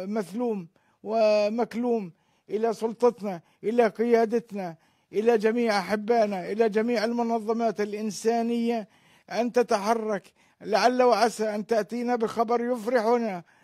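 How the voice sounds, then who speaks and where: A man's high-pitched voice, dark and mellow in tone, at a very slow pace with monotone, flat intonation and a quiet background. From West Bank, Palestine. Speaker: brother of a missing detainee. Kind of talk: interview appeal. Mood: earnest, pleading appeal. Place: home room. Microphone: handheld.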